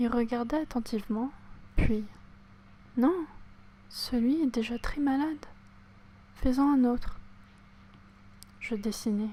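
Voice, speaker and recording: Pausing long and often, a woman with a high pitch and a dark, mellow tone speaks at a very slow pace with ordinary pitch variation. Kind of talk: audiobook reading. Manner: whispered.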